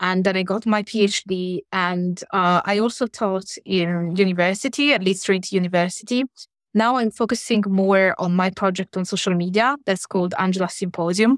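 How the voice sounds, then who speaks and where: A woman with an Italian accent at a medium pitch, moderate pace and fairly even intonation, in a very clean recording with a silent background and a dry, close sound with no echo. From Italy. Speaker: academic. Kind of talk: interview.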